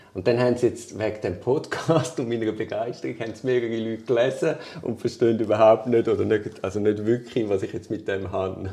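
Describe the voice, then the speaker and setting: With hardly any pauses and noticeable background noise, the voice moves at a fairly quick pace with ordinary pitch variation. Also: man, medium pitch for a man. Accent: Swiss. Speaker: lawyer. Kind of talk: casual chat.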